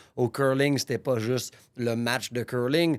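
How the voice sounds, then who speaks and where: A man speaks at a very slow pace with a medium pitch. The recording is very clean, with a silent background. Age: 30s. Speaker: gym owner, podcast host. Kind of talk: personal storytelling monologue. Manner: casual, with false starts.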